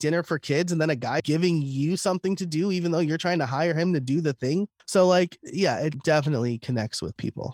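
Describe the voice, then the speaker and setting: A high-pitched man with an American accent talks at a very fast pace on a very clean recording with a silent background, the sound dry and close with no echo. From New York, US. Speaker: podcaster and content creator. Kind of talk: interview conversation.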